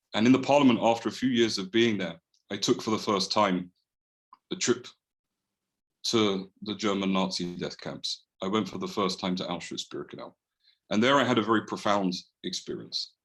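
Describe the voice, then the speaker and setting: A man with a London accent speaks at a moderate pace in a fairly low voice with ordinary pitch variation, leaving long, frequent pauses. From London, England (Edgware). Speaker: holocaust remembrance activist. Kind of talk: presentation talk. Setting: video call.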